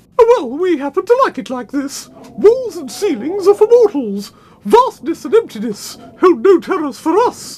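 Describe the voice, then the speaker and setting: This is a cartoonish character voice at an extremely high pitch with very wide pitch swings. The pace is moderate. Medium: puppet. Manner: indignant.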